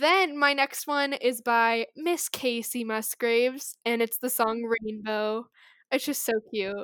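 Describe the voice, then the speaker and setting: A woman with an American accent speaks very slowly in a very clean recording with a silent background and a dry, close sound with no echo. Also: fairly high pitch for a woman, ordinary pitch variation. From Colorado, US. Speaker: podcast co-host. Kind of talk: casual chat.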